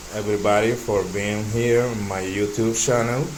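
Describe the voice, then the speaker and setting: A man with a Dominican accent, fairly low in pitch and flat and monotone, talking at a very slow pace amid audible room echo and noticeable background noise. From Dominican Republic. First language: Spanish. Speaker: tech YouTuber. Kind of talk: tech demo walkthrough.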